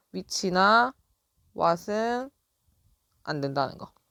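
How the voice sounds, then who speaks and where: An ordinary speaking voice from a woman at medium pitch, lively intonation, very clean recording and silent background. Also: dry, close sound with no echo. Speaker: English teacher. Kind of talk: lecture.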